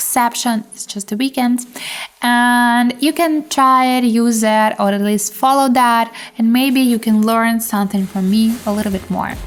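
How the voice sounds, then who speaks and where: Through noticeable background noise, a woman speaks at a fairly slow pace in a fairly high pitch with fairly even intonation. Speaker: trading channel host. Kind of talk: trading tutorial with live commentary. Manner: low-key, not very emotional.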